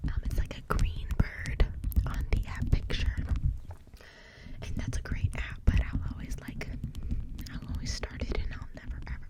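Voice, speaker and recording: A woman whispers over noticeable background noise. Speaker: ASMR artist. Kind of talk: ASMR rambling to camera. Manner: whispered, soft-spoken.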